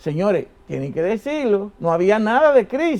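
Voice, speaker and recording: A man is speaking. His pitch swings very widely. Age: 70s. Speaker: economist. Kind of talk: interview.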